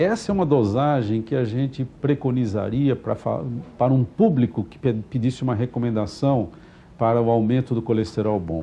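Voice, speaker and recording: Over music in the background, a man speaks at a medium pitch and moderate pace with ordinary pitch variation. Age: 60s. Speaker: physician. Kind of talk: TV interview.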